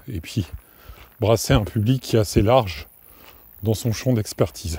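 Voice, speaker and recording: A man speaks with a dark, mellow tone. His delivery is fairly slow and somewhat breathy. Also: ordinary pitch variation. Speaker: podcast host. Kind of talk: casual solo podcast monologue. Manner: hesitant, many fillers and restarts.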